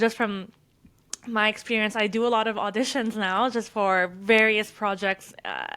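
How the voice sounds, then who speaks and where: A woman with a slight French accent speaks in a fairly high pitch, her bright, sharp tone held in a monotone, flat intonation. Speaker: podcast co-host. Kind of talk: casual chat.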